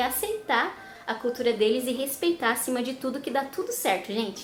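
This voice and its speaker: Against noticeable background noise, a woman speaks at a fairly quick pace in a high pitch. She has a southern Brazilian accent. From southern Brazil, Curitiba. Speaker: vlogger. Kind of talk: casual vlog talk.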